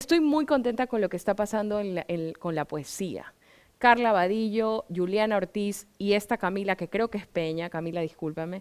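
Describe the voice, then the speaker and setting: A woman with a medium pitch talks with lively intonation. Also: moderate pace. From Ecuador, Guayaquil; Ecuador. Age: 40s. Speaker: writer; interviewee. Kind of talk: interview. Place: stage. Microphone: headset.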